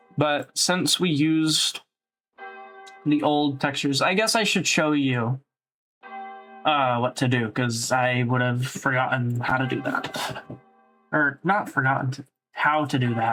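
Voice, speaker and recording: Over music in the background, a man speaks at a fairly slow pace with ordinary pitch variation and long, frequent pauses. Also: medium pitch for a man. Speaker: tutorial creator. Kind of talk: tutorial. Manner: loud; casual, hesitant with fillers.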